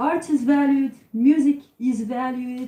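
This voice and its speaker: A woman with a Tunisian accent speaks at a very slow pace in a dark, mellow tone. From Tunisia, Sfax. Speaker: singer and psychologist. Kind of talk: talk to audience.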